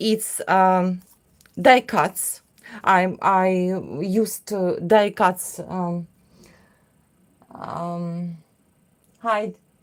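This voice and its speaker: A woman's very slow speech in a Russian accent, with long, frequent pauses. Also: medium pitch for a woman, fairly even intonation. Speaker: craft artist. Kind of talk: livestream tutorial. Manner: halting.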